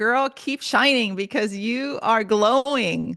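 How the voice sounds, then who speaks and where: A woman with a slight Spanish accent and ordinary pitch variation. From Honduras, moved to US at eight. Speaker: motivational speaker and writer. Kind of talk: podcast interview.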